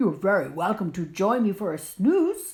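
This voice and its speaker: Using a put-on character voice, a woman talks at a moderate pace with a medium pitch. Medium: read story.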